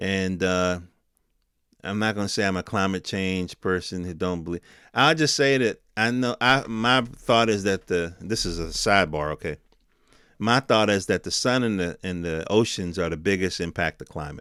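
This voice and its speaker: Loud and very deep, a man's voice has a bright, sharp tone, ordinary pitch variation and a moderate pace, with a dry, close sound with no echo on a very clean recording with a silent background. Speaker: tech news podcaster. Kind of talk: casual commentary.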